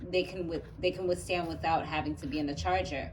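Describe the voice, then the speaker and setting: Audible room echo around a woman speaking at a fairly low pitch. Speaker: YouTuber. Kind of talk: unboxing tutorial. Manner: casual, hesitant with fillers.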